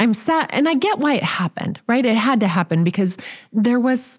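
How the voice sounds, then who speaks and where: With an American accent and lively intonation, a woman speaks in a somewhat breathy voice on a very clean recording with a silent background. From small-town US. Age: 50s. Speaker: podcast host. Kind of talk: casual chat.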